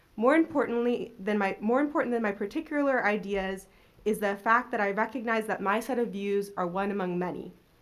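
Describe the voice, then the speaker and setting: With ordinary pitch variation and a fairly quick pace, this is an unremarkable speaking voice. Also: woman, fairly high pitch for a woman. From Maryland, US. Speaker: council seat candidate, research economist. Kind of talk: prepared opening statement at public interview. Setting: city hall public panel.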